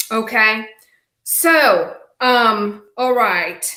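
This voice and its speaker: A high-pitched woman with a Czech accent, a bright, sharp tone and fairly even intonation. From Czech Republic. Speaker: business coach. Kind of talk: live webinar training. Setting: livestream.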